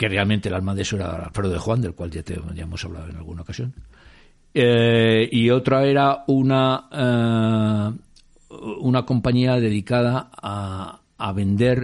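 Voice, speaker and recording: Against a quiet background, a man with a medium pitch speaks at a fairly slow pace with ordinary pitch variation. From Spain, Madrid. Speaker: former record industry executive. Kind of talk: interview. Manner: halting, with many repetitions.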